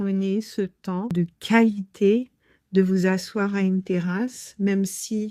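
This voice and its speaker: A woman's medium-pitched voice, dark and mellow in tone, stays monotone and flat in a very clean recording with a silent background. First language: Haitian Creole (speaking French). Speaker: podcast host. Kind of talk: podcast monologue. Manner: hesitant, many fillers.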